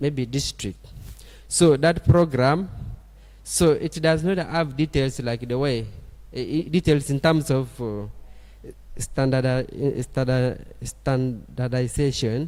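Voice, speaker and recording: Very clean recording, silent background. A man at medium pitch talks at a very slow pace with ordinary pitch variation. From Uganda, Karamoja region. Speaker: guest lecturer. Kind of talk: lecture. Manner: halting, with frequent repetitions.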